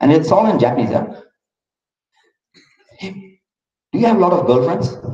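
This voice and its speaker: Audible room echo surrounds a man speaking in a Keralan accent. His pitch swings very widely. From India, Maharashtra (raised in Loni hostel). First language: Malayalam. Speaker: motivational speaker. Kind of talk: interactive talk to school audience.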